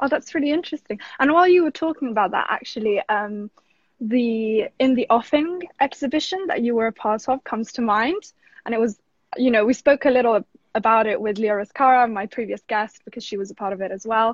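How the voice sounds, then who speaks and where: In an unremarkable speaking voice, the words come at a fairly quick pace with lively intonation. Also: woman, fairly high pitch for a woman. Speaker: art talk host. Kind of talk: casual interview chat. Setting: live stream video call.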